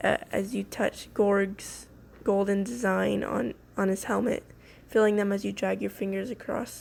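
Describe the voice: Someone is reading aloud in a plain way.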